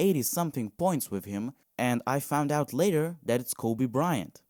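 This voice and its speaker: In a very clean recording with a silent background and a dry, close sound with no echo, a man with a non-native accent speaks at medium pitch and a moderate pace, his tone dark and mellow and his intonation lively. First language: not English. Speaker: podcast host. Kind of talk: casual monologue. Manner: halting.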